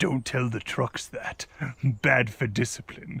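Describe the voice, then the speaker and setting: A man puts on a character voice at a medium pitch. He goes at a fairly slow pace with ordinary pitch variation. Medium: machinima. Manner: dry, authoritative.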